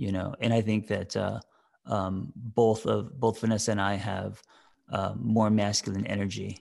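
A man talks at a moderate pace with fairly even intonation. His fairly low voice carries vocal fry against a quiet background. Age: 40s. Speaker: therapist and podcast co-host. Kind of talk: casual chat. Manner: halting, many fillers.

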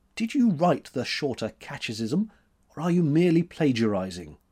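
Putting on a character voice, a man drawls at a moderate pace in a fairly high pitch with very wide pitch swings. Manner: drawling, mildly impertinent.

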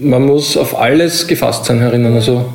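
Amid noticeable background noise and audible room echo, a man speaks at a fairly slow pace with a medium pitch and ordinary pitch variation. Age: 40s. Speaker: prison officer. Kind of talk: interview.

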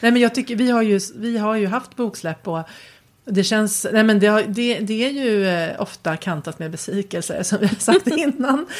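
At a moderate pace, a woman with a fairly high pitch talks with ordinary pitch variation. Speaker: writer and podcast co-host. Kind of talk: casual chat. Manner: halting.

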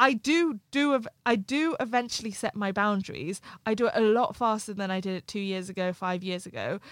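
An ordinary speaking voice from a woman, fairly high in pitch, with lively intonation, a fairly quick pace and hardly any pauses, in a dry, close sound with no echo on a very clean recording with a silent background. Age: 20s. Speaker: life coach and writer. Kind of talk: casual interview conversation. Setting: studio, in-person recording.

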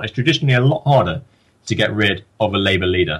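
Speaking at a very fast pace, a man uses an English accent. His pitch varies in an ordinary way. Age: young. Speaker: politics student. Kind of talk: interview.

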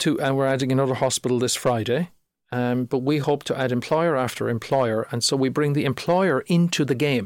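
On a very clean recording with a silent background, a man with a Cork accent speaks at a fairly high pitch and a moderate pace. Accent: Cork Irish. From Ireland, North Cork. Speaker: startup founder. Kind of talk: podcast interview.

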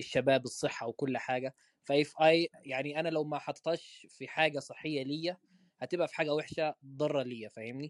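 The sound is dry and close with no echo as a man talks at a moderate pace, his pitch fairly high and his intonation fairly even. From Egyptian raised in Medina, Saudi Arabia. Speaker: podcast host. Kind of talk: casual chat.

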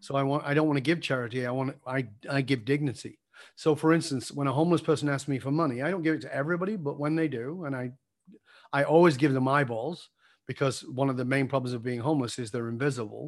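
A man speaks at a very fast pace with a northern English accent. His pitch sits fairly high, and his intonation stays fairly even. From northern England. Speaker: leadership coach. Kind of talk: interview.

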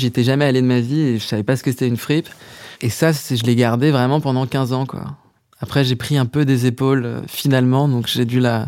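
At a moderate pace, a man speaks in an unremarkable speaking voice with a medium pitch and fairly even intonation. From Paris, France. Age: 30s. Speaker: musician and songwriter. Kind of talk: casual interview chat.

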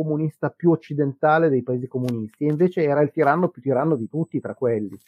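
Very fast speech from a man with a fairly high pitch and ordinary pitch variation. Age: 50s. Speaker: history podcaster. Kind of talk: casual chat. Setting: live stream.

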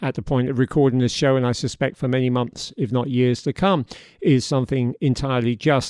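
With a British accent, a man talks at medium pitch and a moderate pace. His pitch variation is ordinary, and the background is quiet. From Britain. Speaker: podcast host. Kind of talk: interview; scripted narration.

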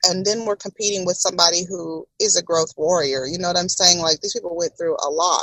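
A woman of medium pitch talks in an ordinary speaking voice with ordinary pitch variation. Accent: American. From Texas, Houston area. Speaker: podcast host and entrepreneur. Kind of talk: casual interview.

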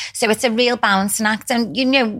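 A woman with a British accent talks at a very fast pace in a fairly high pitch, her intonation fairly even and her voice showing vocal fry. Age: 40s. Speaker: skin clinic owner. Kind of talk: interview.

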